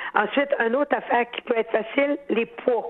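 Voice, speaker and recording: At a moderate pace, a woman speaks in a Quebec accent with a high pitch. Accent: Québécois French. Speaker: horticulturist. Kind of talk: call-in advice. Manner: animated.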